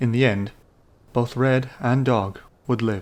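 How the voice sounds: Just a natural reading voice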